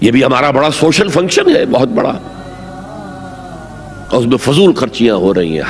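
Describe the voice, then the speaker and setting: A man speaks at medium pitch with very wide pitch swings and very even loudness. Music plays in the background. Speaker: Islamic scholar giving a religious lecture. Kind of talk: Islamic sermon.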